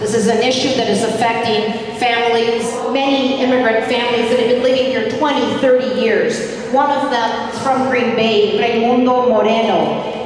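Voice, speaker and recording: A woman talks at a moderate pace with hardly any pauses, her intonation monotone and flat. Strong room echo and noticeable background noise fill the recording. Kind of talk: rally speech. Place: hall.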